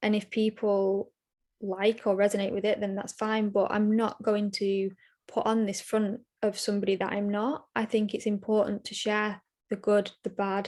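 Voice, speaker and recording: A woman speaks at a moderate pace in a medium pitch, her intonation flat and monotone. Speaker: self-love and empowerment coach. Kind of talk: casual interview chat. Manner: soft-spoken, quiet.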